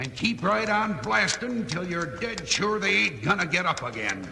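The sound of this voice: Using a put-on character voice, a man speaks high for his sex at a moderate pace, with big pitch swings, vocal fry and clear background noise.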